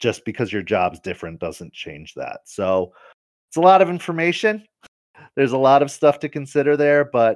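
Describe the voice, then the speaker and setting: A man with a fairly high pitch speaks at a moderate pace, his loudness swinging widely and his pitch ranging very widely. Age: 30s. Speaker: tabletop gaming website founder. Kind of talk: interview.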